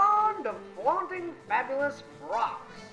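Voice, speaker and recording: Over music in the background, a woman speaks with very wide pitch swings. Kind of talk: mock vintage newsreel narration.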